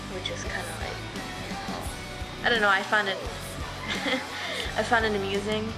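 A woman speaks with clear music in the background. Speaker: vlogger. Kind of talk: casual vlog chat. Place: kitchen. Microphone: webcam.

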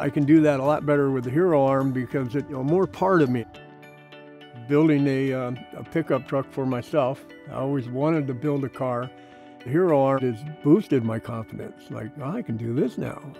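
Speaking at a fairly quick pace in a Pacific Northwest accent, the voice has ordinary pitch variation and a dry sound with no echo, with faint music in the background. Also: man. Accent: Pacific Northwest American English. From Pacific Northwest, USA. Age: 70s. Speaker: prosthetic arm user, hobby woodworker. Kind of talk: testimonial interview answer. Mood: warm, enthusiastic. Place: garden. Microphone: lapel.

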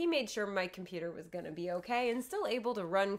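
At a fairly quick pace, a woman talks with ordinary pitch variation. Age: 30s. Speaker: podcast co-host. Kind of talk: casual chat. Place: home room. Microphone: studio mic.

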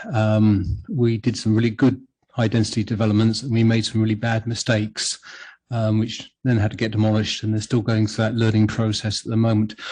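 Speaking fairly quickly with a British accent, a man uses a fairly low, dark, mellow voice that is somewhat breathy. His loudness stays very even and his intonation is monotone and flat. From UK. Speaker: planning commissioner chairing the meeting. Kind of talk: public meeting discussion. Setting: city planning commission meeting. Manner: halting, many fillers and restarts.

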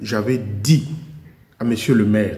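A man speaks very slowly in a dark, mellow tone that is somewhat breathy. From Republic of the Congo. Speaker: YouTube commentator; commentator vlogger. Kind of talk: video monologue. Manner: animated. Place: garage. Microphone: headset.

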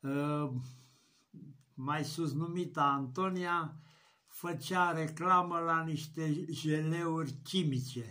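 Against a quiet background, a bright, sharp tone moves at a very slow pace with fairly even intonation. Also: man, fairly high pitch for a man. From Romania. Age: 70s. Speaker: YouTuber. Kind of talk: vlog rant. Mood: indignant, mocking rant. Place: home room. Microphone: webcam.

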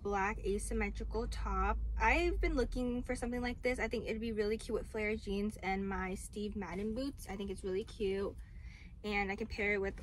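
A woman's voice comes at a moderate pace, with light background noise underneath. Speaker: vlogger showing her purchases. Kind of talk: casual vlog chat. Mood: cheerful, relaxed. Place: car. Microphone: phone near.

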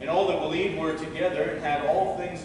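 A man speaks with strong room echo. Noticeable background noise runs underneath. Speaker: pastor. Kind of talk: sermon. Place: church.

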